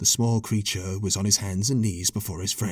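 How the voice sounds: This is a natural reading voice. The intonation stays fairly even.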